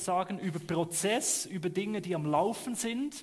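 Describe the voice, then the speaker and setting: A man's high-pitched voice, with ordinary pitch variation, proceeds at a fairly slow pace. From Switzerland. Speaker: pastor. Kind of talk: sermon.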